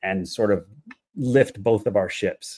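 A man with an American accent, medium pitch and a moderate pace, a plain, everyday voice. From United States, Mexican Salvadoran family. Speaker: economist and strategic coach. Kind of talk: interview conversation.

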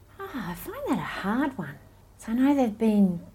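With an Australian accent, a woman sounds somewhat breathy and dark and mellow in tone, her pitch swinging very widely. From Malaysia and Sydney, Australia. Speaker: missionary and student ministry worker. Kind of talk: interview. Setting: in person.

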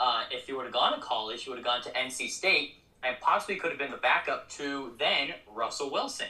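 Noticeable background noise accompanies a man with an American accent. He talks at a fairly quick pace. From Colorado Springs, Colorado. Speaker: minor league baseball media relations coordinator. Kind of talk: casual interview chat.

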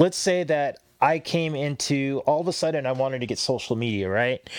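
Medium pitch from a man with ordinary pitch variation, on a very clean recording with a silent background. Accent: American. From Southern California, Los Angeles area. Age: 40s. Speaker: tattoo artist. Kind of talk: casual chat. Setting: studio.

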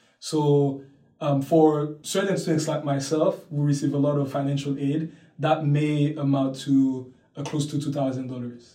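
Fairly high-pitched yet dark and mellow in tone, a man speaks in a flat monotone that is somewhat breathy. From Haiti, Port-au-Prince. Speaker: university student. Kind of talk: interview. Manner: hesitant, with fillers.

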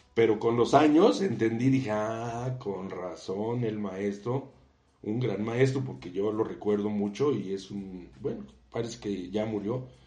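Through audible room echo, a man with a fairly low pitch and a dark, mellow tone speaks at a fairly slow pace with ordinary pitch variation. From Mexico. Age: 60s. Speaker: civil engineer and university professor. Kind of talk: interview.

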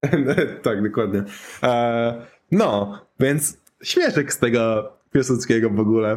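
A man's medium-pitched voice proceeds very slowly, with ordinary pitch variation. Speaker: podcast co-host. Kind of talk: casual chat. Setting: remote call via Discord.

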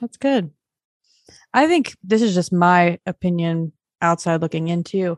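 An unremarkable speaking voice at a fairly slow pace, with a dry, close sound and no echo. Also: woman. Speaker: podcast host. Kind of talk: interview. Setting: video call.

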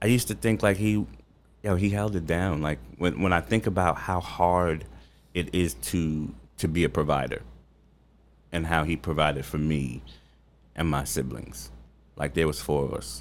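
A man's very deep, low voice with vocal fry, at a moderate pace with long, frequent pauses. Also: lively intonation, very clean recording, silent background. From Long Island, New York. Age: 40s. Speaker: chef. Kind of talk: casual interview. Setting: studio.

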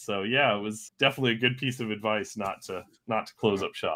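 In an American accent, a man of medium pitch talks with an unremarkable speaking voice. His pace is fairly quick and his intonation fairly even. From United States. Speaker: podcast co-host. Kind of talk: casual interview.

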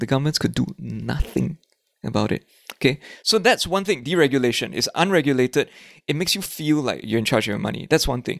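A man with a fairly high voice, animated and lively in intonation, with vocal fry, at a very fast pace. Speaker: actor and voice-over artist, financial literacy educator. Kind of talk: casual interview.

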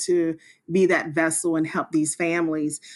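A woman speaks at a moderate pace with a fairly low pitch. Hers is an ordinary speaking voice. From US South, South Carolina. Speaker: nonprofit co-founder, police officer. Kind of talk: interview.

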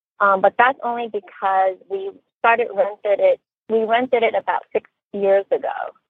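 A woman with an unremarkable speaking voice talks at a fairly high pitch and moderate pace, with ordinary pitch variation. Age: 40s. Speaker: radio call-in caller. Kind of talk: casual advice call.

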